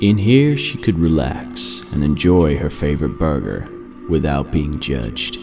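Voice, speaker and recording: Over background music, a man with a very deep, low pitch talks at a fairly slow pace with lively intonation. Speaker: voice-over narrator. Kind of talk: horror story narration.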